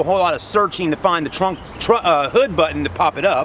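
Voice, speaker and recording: A man with a high voice speaks very fast and with ordinary pitch movement over noticeable background noise. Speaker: car reviewer. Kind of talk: product review walkaround. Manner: casual.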